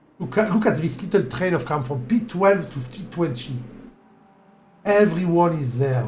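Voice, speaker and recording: A man with a French accent and a high pitch talks in an animated tone with lively intonation at a moderate pace, leaving long, frequent pauses, amid audible room echo and noticeable background noise. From France. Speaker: sim racing commentator. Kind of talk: live commentary; casual chat. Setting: live stream.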